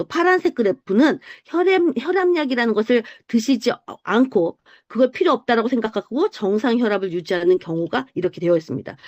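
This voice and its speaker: This woman has a fairly high pitch that moves in very wide swings. The sound is dry and close, with no echo. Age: 50s. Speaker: health supplement group leader. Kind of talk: online group presentation. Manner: explanatory, with many fillers.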